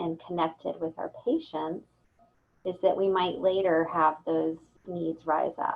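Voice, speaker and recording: Fairly low in pitch, a woman speaks in an ordinary speaking voice. Her pace is fairly slow and her intonation fairly even. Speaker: presenter on compassion fatigue for cancer support staff. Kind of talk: lecture.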